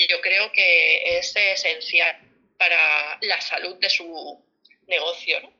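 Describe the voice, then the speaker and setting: Music plays behind a woman who talks at a very slow pace. Her loudness swings widely. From Barcelona, Spain. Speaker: family financial planner. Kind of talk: casual interview. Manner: halting, many repetitions.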